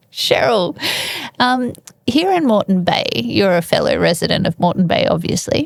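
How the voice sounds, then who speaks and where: An Australian accent at a moderate pace, with very even loudness. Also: woman. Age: 40s. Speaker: podcast host. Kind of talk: casual interview chat.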